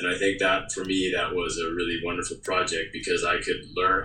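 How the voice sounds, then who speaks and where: With audible room echo around him, a man speaks at a fairly quick pace. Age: 40s. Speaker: documentary director. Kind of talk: interview.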